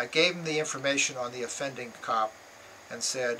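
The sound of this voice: Unforced read-aloud delivery, pitch varying in an ordinary way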